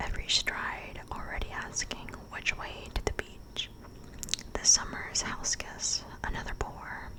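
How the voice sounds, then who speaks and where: Fairly slow whispering over noticeable background noise. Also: woman. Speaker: ASMR creator. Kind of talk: ASMR book reading. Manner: soft, whispered, slow.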